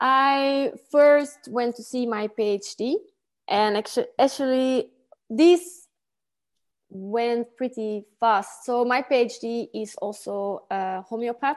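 A woman with a high pitch speaks at a very slow pace. Her pitch varies normally, and the background is quiet. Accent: Flemish. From Belgium, Antwerp. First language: Dutch. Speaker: Lyme disease healer, former martial arts and sports teacher. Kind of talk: casual interview chat, personal story. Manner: halting, searching for English words.

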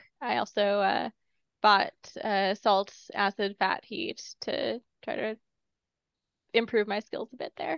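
A woman speaks at medium pitch with vocal fry and ordinary pitch variation. Her pace is very slow, with long, frequent pauses. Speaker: podcast co-host. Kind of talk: casual chat.

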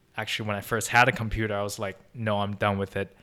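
A man speaks at a fairly low pitch. He has a Chinese accent. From China (Beijing). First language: Mandarin Chinese. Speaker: podcast guest, recent graduate. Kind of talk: casual interview chat.

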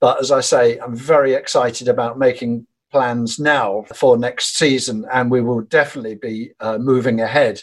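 A man in a plain, everyday voice talks at a moderate pace and medium pitch, with fairly even intonation and hardly any pauses. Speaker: folk and Americana musician. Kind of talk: interview.

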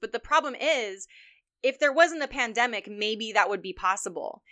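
A woman with an unremarkable speaking voice, lively intonation and a moderate pace. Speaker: podcast host. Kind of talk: casual chat. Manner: casual, chatty.

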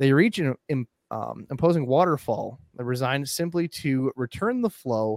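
A man with an American accent speaks at a moderate pace and medium pitch, with ordinary pitch variation. The sound is dry and close, with no echo. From central Minnesota, US. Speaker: aquarium podcast host. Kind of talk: casual chat; storytelling, partly reading. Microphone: good audio.

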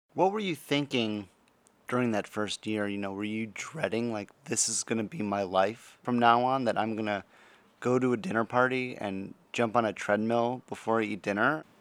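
An unremarkable speaking voice moves at a moderate pace with ordinary pitch variation. The recording is very clean, with a silent background. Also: man, medium pitch for a man. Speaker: interviewer with type one diabetes. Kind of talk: casual conversation.

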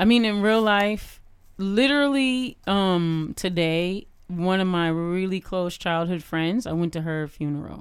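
An ordinary speaking voice from a woman with an American accent, medium in pitch, at a fairly slow pace with ordinary pitch variation. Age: 40s. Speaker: cultural activist and podcaster. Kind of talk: casual chat.

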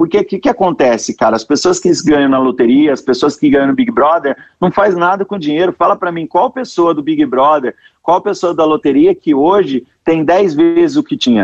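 High in pitch, a man talks at a moderate pace with very wide pitch swings. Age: 30s. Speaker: sales expert. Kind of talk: interview. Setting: remote streaming call. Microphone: poor streaming audio quality.

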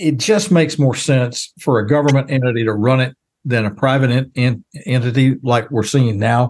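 Speaking at a moderate pace with very even loudness, a man with a Texan accent uses a medium pitch. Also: ordinary pitch variation. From Texas, small town south of Dallas. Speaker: baseball radio announcer and former news reporter. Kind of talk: interview.

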